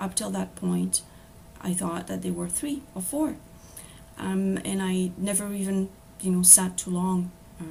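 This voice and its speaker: A woman with a French accent at a fairly slow pace, with long, frequent pauses and noticeable background noise. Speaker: apprentice spiritual counselor. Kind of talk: presentation. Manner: hesitant, many fillers.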